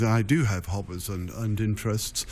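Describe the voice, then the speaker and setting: With a dark, mellow tone and fairly low pitch, a man speaks at a moderate pace. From Essex, England. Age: 60s. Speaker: county ceremonial official. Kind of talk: radio interview. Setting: radio studio. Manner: halting, many fillers.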